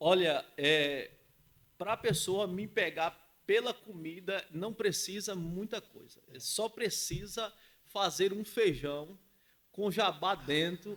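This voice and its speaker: In a Bahian accent, a man speaks at a very slow pace in a high voice with ordinary pitch variation and big swings in loudness. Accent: Bahian northeastern Brazilian. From Bahia, Brazil (rural, Camacã). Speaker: entrepreneur. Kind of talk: podcast interview. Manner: confident, articulate.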